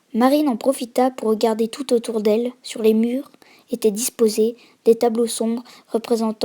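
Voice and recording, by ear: The text is read aloud in a natural voice, and the intonation stays fairly even.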